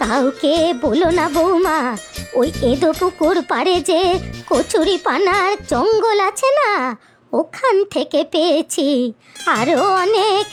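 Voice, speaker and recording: Clear music plays in the background. A cartoonish character voice speaks at a very slow pace. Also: woman. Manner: grumbling, scolding.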